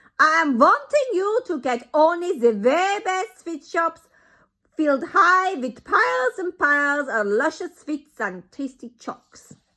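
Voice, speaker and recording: In a put-on character voice, a woman speaks shrill and high, raised and projected, at a fairly slow pace with very wide pitch swings. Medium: read story. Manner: commanding, domineering.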